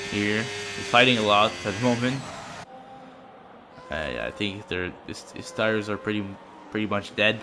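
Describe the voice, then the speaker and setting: A man's fairly low voice in a Quebec accent, at a moderate pace, with noticeable background noise. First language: French. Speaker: sim racing commentator. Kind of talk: live commentary. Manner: halting.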